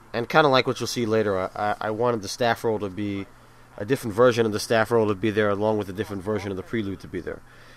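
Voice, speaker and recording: Mumbling at a very fast pace, a man speaks in a fairly low pitch with fairly even intonation. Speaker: video game reviewer. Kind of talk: video commentary. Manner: halting, repeated words.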